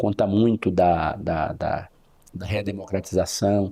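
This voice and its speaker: His voice is fairly low in pitch and dark and mellow in tone, and this man speaks in a flat monotone. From northern Goiás (now Tocantins), Brazil. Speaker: criminal defense lawyer. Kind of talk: interview.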